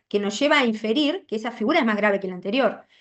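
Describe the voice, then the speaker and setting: She has an unremarkable speaking voice. Her pitch sits fairly high for a woman, with ordinary pitch variation. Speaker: law lecturer. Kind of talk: lecture.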